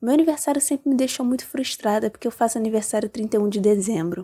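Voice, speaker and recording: Heard on a very clean recording with a silent background, a woman with a fairly high pitch and a dark, mellow tone speaks with ordinary pitch variation in a dry, close sound with no echo. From Rio de Janeiro, Brazil. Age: 20s. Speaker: listener contributor. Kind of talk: personal anecdote. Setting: recorded voice message.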